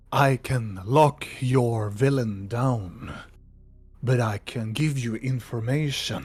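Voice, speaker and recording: A man speaks very slowly in a put-on character voice at a medium pitch. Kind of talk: archaic solemn speech. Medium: actual play. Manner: formal, slightly broken phrasing.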